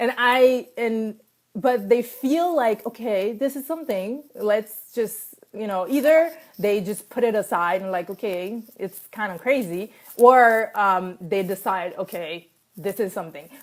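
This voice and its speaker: A woman speaks in a French accent at a fairly high pitch. Her intonation is lively and her pace fairly slow. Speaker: life coach. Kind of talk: casual talk to camera, live stream. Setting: Facebook live video. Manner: hesitant, many fillers.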